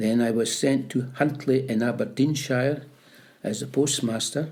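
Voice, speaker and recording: A man speaks fairly slowly at a medium pitch with fairly even intonation, and some room echo can be heard. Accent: Scottish Borders. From Scotland, Peebles (Scottish Borders). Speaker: retired postmaster and army veteran. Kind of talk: oral history interview. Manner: halting.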